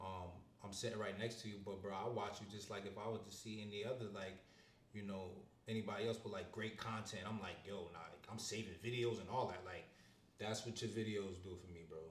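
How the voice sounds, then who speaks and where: Here a man talks in a fairly low pitch at a fairly quick pace, his intonation monotone and flat. Audible room echo and noticeable background noise fill the recording. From Upstate New York (Syracuse). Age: 20s. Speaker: interviewee. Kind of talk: casual chat. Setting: street interview on camera.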